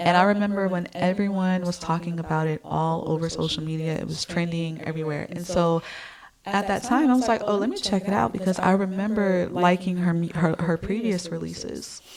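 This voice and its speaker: A woman speaks fairly quickly in a fairly low pitch, her intonation fairly even, with noticeable background noise around her. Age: 30s. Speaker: music YouTuber and singer. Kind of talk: casual commentary vlog. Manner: hesitant, many fillers.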